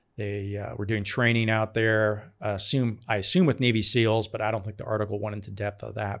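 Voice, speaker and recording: A man speaks at a fairly quick pace with fairly low pitch, fairly even intonation and an ordinary speaking voice. The recording is very clean, with a silent background. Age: 50s. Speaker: podcast host, military veteran. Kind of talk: casual chat.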